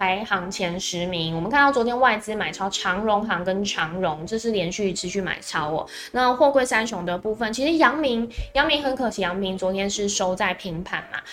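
Speaking at a moderate pace with a Taiwanese accent, a woman uses lively intonation at a medium pitch amid noticeable background noise. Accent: Taiwanese Mandarin. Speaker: stock market livestream host. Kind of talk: morning market commentary livestream. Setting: live stream on video platforms.

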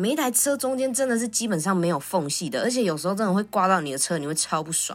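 The delivery is animated, with very wide pitch swings. The recording is very clean, with a silent background. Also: woman. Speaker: podcast host. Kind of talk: casual monologue. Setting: recording at the office.

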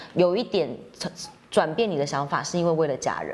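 Animated in tone, a woman speaks at a fairly low pitch amid noticeable background noise. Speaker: podcast host. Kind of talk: casual interview. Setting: fitness studio.

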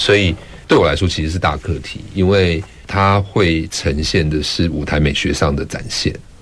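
Over noticeable background noise, a man with a very deep, low pitch speaks at a moderate pace and with fairly even intonation. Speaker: theatre director. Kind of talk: interview. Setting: studio.

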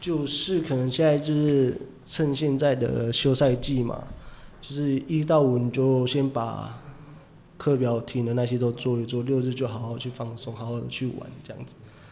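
A man talks at a moderate pace with big swings in loudness, and the room echo is audible. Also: medium pitch for a man, fairly even intonation. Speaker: professional baseball player. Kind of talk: casual interview chat.

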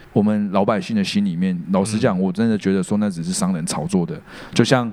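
A man races along at a very fast pace, his pitch fairly low with ordinary variation. Noticeable background noise is present. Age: 30s. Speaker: podcast co-host. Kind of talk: casual chat.

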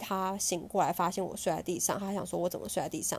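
A woman speaks at a medium pitch with vocal fry. The recording is very clean, with a silent background. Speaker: podcast host. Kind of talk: casual chat.

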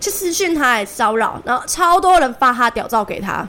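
In a Taiwanese accent, a raised, projected voice makes very wide pitch swings. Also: woman. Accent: Taiwanese Mandarin. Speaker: podcast co-host. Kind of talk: casual chat.

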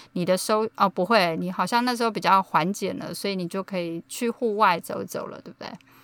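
A woman with an unremarkable speaking voice talks at a fairly quick pace with hardly any pauses, her medium pitch and fairly even intonation paired with big swings in loudness, in a dry, close sound with no echo. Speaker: podcast host. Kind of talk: casual chat.

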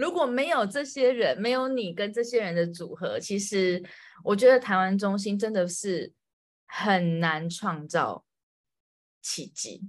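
A woman talks at a very slow pace with lively intonation over a quiet background. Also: medium pitch for a woman. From Taiwan. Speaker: podcast host. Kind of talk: casual interview chat.

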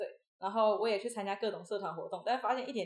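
A woman speaks at a very fast pace with a fairly high pitch. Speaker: university student and former acrobatic performer. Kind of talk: interview conversation.

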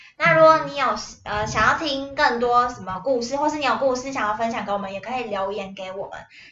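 A woman speaks in a high voice with lively intonation and big swings in loudness, heard with audible room echo and noticeable background noise. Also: fairly quick pace. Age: 20s. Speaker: podcast co-host, family caregiver. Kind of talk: casual chat.

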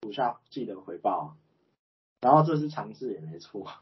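A man's somewhat breathy voice moves at a fairly slow pace, with very wide pitch swings. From Taiwan, Chiayi. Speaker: guest, manager. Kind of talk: casual chat.

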